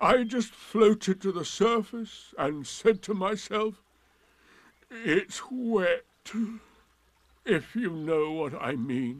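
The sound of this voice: A man's gruff, put-on character voice, high-pitched with lively intonation, at a very slow pace.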